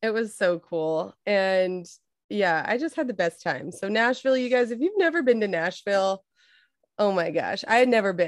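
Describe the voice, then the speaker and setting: A woman with an American accent talks at a moderate pace and medium pitch, her intonation lively against a quiet background. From California. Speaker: podcast co-host. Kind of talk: casual chat. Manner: animated.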